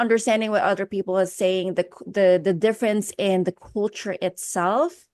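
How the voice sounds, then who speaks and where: A woman with a Filipino accent speaks at a medium pitch in a monotone, flat intonation. The sound is dry and close with no echo, over a quiet background. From Philippines. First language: Filipino language. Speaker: personal development coach. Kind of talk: interview.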